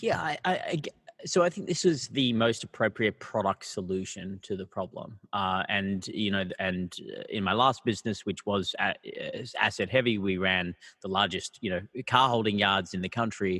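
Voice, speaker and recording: A man with an Australian accent, bright and sharp in tone, at a moderate pace with ordinary pitch variation, the sound dry and close with no echo. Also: fairly low pitch for a man. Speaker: startup founder and CEO. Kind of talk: podcast interview. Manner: halting, many fillers.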